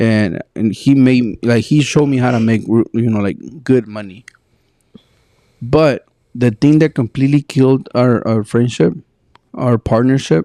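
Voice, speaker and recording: With a Spanish accent, a man speaks at medium pitch in a dark, mellow tone, at a fairly slow pace with long, frequent pauses and ordinary pitch variation, in a dry, close sound with no echo. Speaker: podcast co-host. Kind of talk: casual chat. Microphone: sometimes sounds far from the mic.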